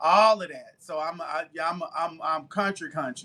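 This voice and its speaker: With a bright, sharp tone, a man speaks at a high pitch and a fairly slow pace, keeping his intonation fairly even. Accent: Southern. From US South (Tuskegee, Alabama). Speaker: baker and live-stream seller. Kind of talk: casual chat on live selling stream. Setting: live stream. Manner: chatty.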